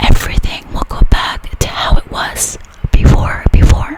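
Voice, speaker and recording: Noticeable background noise sits behind a woman who is whispering. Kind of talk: ASMR story reading for sleep. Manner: whispered, soft-spoken.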